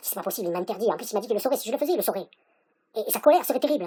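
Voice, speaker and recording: This put-on character voice races along at a very fast pace, with big swings in loudness and very wide pitch swings. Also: woman, fairly high pitch for a woman. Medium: read story.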